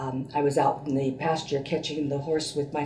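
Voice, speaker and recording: A woman's very deep, low voice at a moderate pace, with audible room echo and noticeable background noise. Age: 70s. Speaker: patient, retired teacher and school administrator. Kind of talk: testimony. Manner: hesitant, many fillers.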